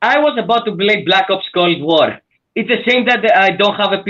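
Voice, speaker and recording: A man talks at a moderate pace with a high pitch. His loudness stays very even. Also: ordinary pitch variation. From Greece. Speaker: caller on a livestream.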